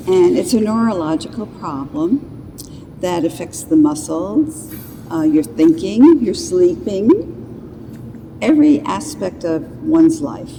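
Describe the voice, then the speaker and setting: A woman with an American accent speaks at a fairly slow pace, her pitch swinging very widely. Long, frequent pauses break up her speech, and there is noticeable background noise. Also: medium pitch for a woman. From US, New York. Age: 70s. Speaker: patient. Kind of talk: testimony.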